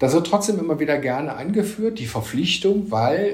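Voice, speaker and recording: This man's pitch swings very widely. Audible room echo and noticeable background noise surround him. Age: 50s. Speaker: economist. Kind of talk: interview.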